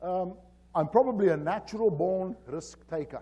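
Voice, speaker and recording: Talking with a strong South African accent, a man uses a high pitch and lively intonation. His tone is dark and mellow. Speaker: safety consultant. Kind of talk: conference presentation. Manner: hesitant, many fillers.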